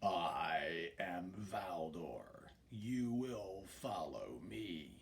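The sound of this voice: A put-on character voice, gruff and growling, drags along at a very slow pace over light background noise. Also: man, fairly low pitch for a man.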